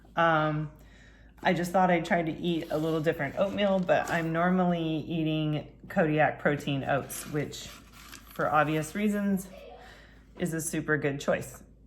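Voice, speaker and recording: A woman's fairly low, mumbling voice with fairly even intonation, at a fairly slow pace with long, frequent pauses, in audible room echo. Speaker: fitness and nutrition coach. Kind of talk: cooking tutorial. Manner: casual, conversational.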